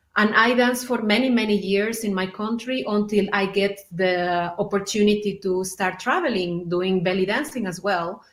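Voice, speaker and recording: A fairly slow pace from a woman with a Spanish accent. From Mexico. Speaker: belly dancer. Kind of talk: interview.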